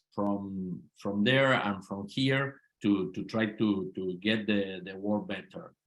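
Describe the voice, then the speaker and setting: In an Argentine accent, a man talks at a very slow pace with a fairly low pitch and fairly even intonation. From Argentina, Mendoza. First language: Spanish. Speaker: politician. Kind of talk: interview. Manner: halting, repeats words.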